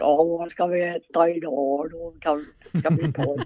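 A put-on character voice at a middle pitch. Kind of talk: spoken Swedish. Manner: goofy, playful.

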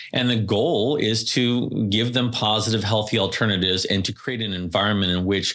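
With a Californian accent, the speaker keeps a moderate pace and fairly even intonation amid audible room echo. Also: man. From Southern California (Carlsbad, Oceanside). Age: 40s. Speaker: hospital executive. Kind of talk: interview.

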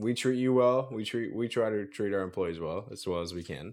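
A man with an American accent has a plain, everyday voice and ordinary pitch variation. He speaks at a fairly quick pace over a quiet background. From US South, central Florida. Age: 20s. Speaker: tree service business owner. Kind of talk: casual interview chat.

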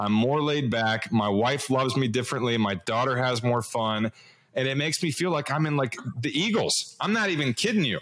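This man has a normal speaking voice at a medium pitch, with very even loudness. He talks at a fairly quick pace. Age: 40s. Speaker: podcast host. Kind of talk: interview.

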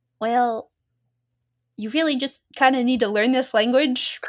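A very clean recording with a silent background captures a woman whose pitch varies in an ordinary way. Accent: American. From Australia. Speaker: book club panelist. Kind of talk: casual chat.

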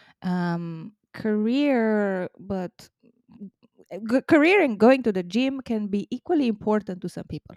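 Recorded dry and close with no echo, a woman speaks with a non-native accent and ordinary pitch variation. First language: not English. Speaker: diversity and inclusion consultant. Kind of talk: casual interview.

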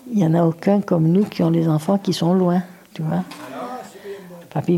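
A woman speaks with fairly low pitch and fairly even intonation. Noticeable background noise runs under her voice. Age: 70s. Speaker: grandmother. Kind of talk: casual chat.

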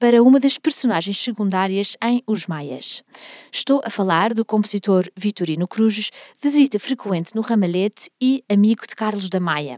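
Her voice is an unremarkable speaking voice at medium pitch with ordinary pitch variation, recorded dry and close with no echo. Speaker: podcast host, music history guide. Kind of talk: scripted narration.

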